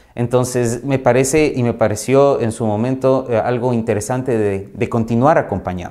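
A man speaks at a moderate pace with fairly even intonation and hardly any pauses. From Ecuador. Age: 40s. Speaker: insurance company manager; guest. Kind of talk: interview monologue. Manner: halting, with fillers. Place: home room.

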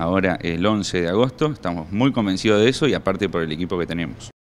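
His pace is very fast. This man's voice sits fairly low, with ordinary pitch variation. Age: 30s. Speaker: local mayoral candidate; candidate. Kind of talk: campaign interview statement. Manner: hesitant fillers (eh). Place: meeting room. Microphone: handheld.

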